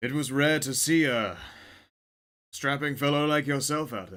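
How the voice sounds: In a put-on character voice, the speaker sounds gravelly at a moderate pace, with ordinary pitch variation and big swings in loudness. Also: man, fairly high pitch for a man.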